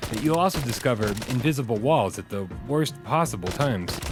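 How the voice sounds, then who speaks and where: With music in the background, a man at a medium pitch speaks with lively intonation. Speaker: video game reviewer. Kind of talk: game review voice-over.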